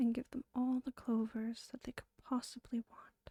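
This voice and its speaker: Whispering and soft-spoken, the voice moves at a fairly slow pace. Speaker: ASMR creator. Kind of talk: casual commentary. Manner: whispered, soft-spoken.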